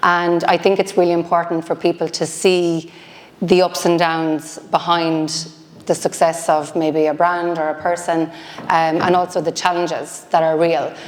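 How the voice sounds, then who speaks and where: With an Irish accent, a woman speaks in a fairly low pitch and a monotone, flat intonation over noticeable background noise. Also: moderate pace. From Ireland. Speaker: business founder and CEO. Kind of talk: motivational talk. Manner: loud.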